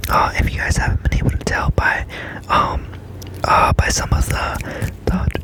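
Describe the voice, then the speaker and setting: Someone whispers at a moderate pace. Noticeable background noise runs behind the voice. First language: Spanish. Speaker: ASMR creator. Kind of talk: ASMR tutorial. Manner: soft-spoken; hesitant, filler-heavy.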